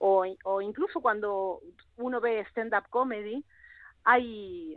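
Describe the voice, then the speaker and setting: The voice carries an Argentine accent. Its pitch varies in an ordinary way. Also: woman. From Argentina. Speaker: actress and singer. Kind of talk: radio interview.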